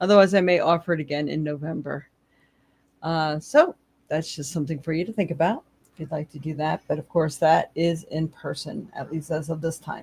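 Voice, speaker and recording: At a fairly quick pace, a woman with a very deep, low pitch speaks somewhat breathily, with fairly even intonation and big swings in loudness. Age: 60s. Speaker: psychic tarot reader. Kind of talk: live stream casual talk. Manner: casual, chatty with fillers.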